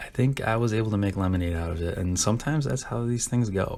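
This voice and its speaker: With an American accent, a man in an ordinary speaking voice talks with lively intonation at a fairly low pitch. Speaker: diecast car customizer. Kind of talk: casual hobby build narration.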